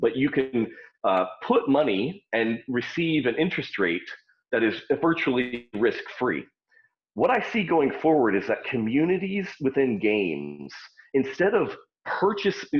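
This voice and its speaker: A man talks at a fairly slow pace with vocal fry. His medium pitch makes very wide swings. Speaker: startup founder. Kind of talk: interview. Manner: loud.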